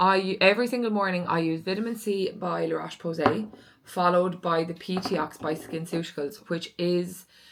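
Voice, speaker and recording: Speaking at a moderate pace, a woman with an Irish accent has a fairly low pitch. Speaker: lifestyle vlogger. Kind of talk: casual vlog chat.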